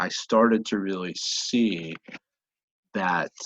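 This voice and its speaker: Recorded with a dry, close sound with no echo and a quiet background, a man speaks with an American accent. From Pennsylvania, US. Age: 40s. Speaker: personal development coach. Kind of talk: podcast interview. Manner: halting, many repetitions.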